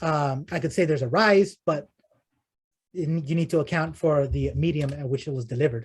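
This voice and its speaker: Somewhat breathy, a man talks at a fairly quick pace. His pitch is fairly high, with ordinary variation. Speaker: guest speaker on data visualization. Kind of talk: Q&A after a talk. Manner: fast; halting, many fillers and repetitions.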